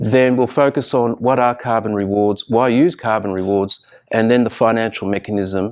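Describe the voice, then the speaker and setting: Here a man speaks with an Australian accent. His pitch varies in an ordinary way. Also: very clean recording, silent background. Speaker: researcher, guest lecturer. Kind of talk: lecture. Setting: live presentation to students.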